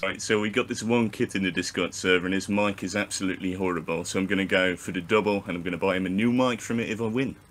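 A man talks at a very fast pace with hardly any pauses. His pitch is fairly low and his intonation fairly even. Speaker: game contestant. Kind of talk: casual chat over voice call. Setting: voice chat.

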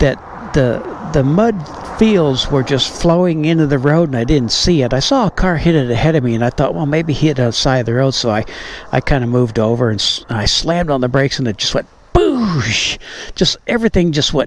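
A man speaks with lively intonation in a dry recording with no echo, over light background noise. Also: fairly quick pace. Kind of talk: casual vlog chat. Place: street. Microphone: phone near.

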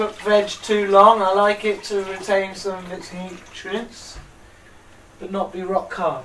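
A man with a high pitch speaks in a monotone, flat intonation at a fairly slow pace, with long, frequent pauses and big swings in loudness, amid audible room echo and noticeable background noise. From England, Banbury (Oxfordshire). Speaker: conspiracy vlogger. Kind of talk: casual monologue vlog. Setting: at home, cooking dinner while recording.

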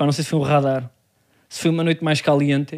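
Words pour out of a man very fast. The background is silent on this very clean recording. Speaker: comedy podcast co-host. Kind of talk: casual chat.

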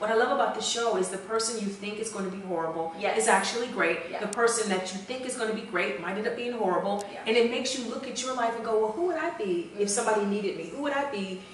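Delivered at a very fast pace with hardly any pauses and ordinary pitch variation, the speech has audible room echo and light background noise. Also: woman. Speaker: guest. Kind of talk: interview answer. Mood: enthusiastic, playful.

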